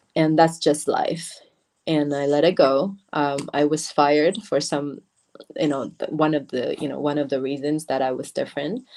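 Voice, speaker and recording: A woman with a Chinese accent speaks at a very deep, low pitch, with a dark, mellow tone and fairly even intonation. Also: moderate pace. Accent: Mandarin-accented English. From Taiwan. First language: Mandarin. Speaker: beauty brand founder. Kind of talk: interview. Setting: livestream. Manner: halting.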